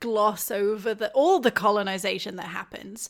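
With a British accent, a woman speaks at a moderate pace and a fairly high pitch. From UK. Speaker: games journalist. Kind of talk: casual chat.

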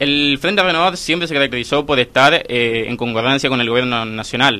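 Medium pitch from a man with ordinary pitch variation. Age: 20s. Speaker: young liberal party activist. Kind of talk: radio interview. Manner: halting, frequent fillers and repetitions.

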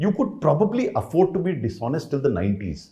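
A man's voice carries a dark, mellow tone with vocal fry. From India, Uttar Pradesh. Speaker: retired civil servant. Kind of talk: interview.

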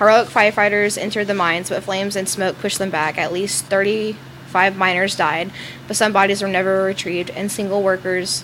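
Noticeable background noise sits behind a woman with a Southern US accent who talks at a fairly quick pace with fairly even intonation. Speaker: podcast co-host. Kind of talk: reading ghost stories aloud.

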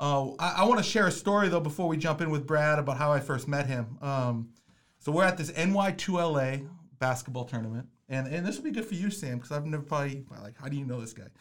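A man with an American accent and a fairly high pitch talks at a very fast pace, with ordinary pitch variation and big swings in loudness. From Minnesota. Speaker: podcast host and basketball coach. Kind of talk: casual chat. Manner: animated.

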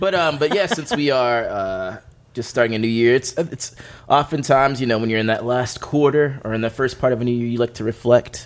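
This man talks at a fairly quick pace with a medium pitch and ordinary pitch variation, in an ordinary speaking voice. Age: 30s. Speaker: music commentator. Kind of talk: casual chat.

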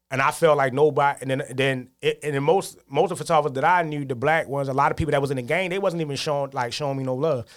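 Talking at a very fast pace with hardly any pauses, a man with a fairly high-pitched voice keeps his intonation fairly even. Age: 30s. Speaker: photographer. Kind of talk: casual interview. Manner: halting, many fillers.

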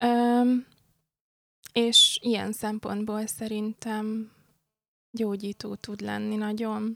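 A woman's fairly high voice, flat and monotone, at a very slow pace with long, frequent pauses, in a dry, close sound with no echo. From Hungary, born in Pécs, international family. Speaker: graphic artist. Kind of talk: casual interview chat. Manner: hesitant, thoughtful.

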